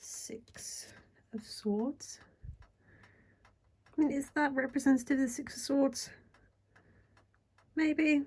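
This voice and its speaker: Soft-spoken and high-pitched, a woman talks at a very slow pace with long, frequent pauses. Her intonation is fairly even, while her loudness swings a lot. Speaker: tarot reader. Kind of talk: casual deck review talk to camera. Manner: soft ASMR-style talking.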